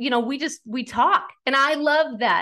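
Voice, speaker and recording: This is a woman in an American accent. She sounds bright and sharp. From rural US farm. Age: 40s. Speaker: author and website founder, former news anchor. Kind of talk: interview. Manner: talkative.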